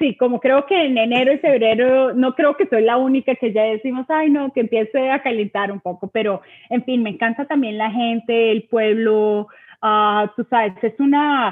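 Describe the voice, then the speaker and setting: A woman's fairly high voice carries her words at a moderate pace. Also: ordinary pitch variation. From Bogotá, Colombia. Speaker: school system community liaison. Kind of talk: interview.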